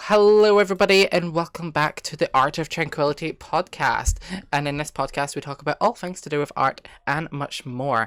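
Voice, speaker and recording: The speaker has a Scottish accent. The pace is fairly quick. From Scotland. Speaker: podcast host. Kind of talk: casual podcast conversation.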